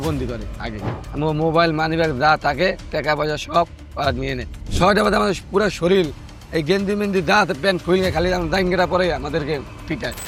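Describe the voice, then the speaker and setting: A high-pitched man with ordinary pitch variation, with music in the background. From Madaripur, Bangladesh. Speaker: trafficking survivor, returned migrant. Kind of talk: interview answer.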